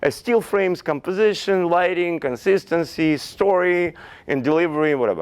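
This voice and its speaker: A man speaks at a moderate pace in a high pitch with a Russian accent, on a very clean recording with a silent background. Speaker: fashion photographer. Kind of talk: lecture. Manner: halting.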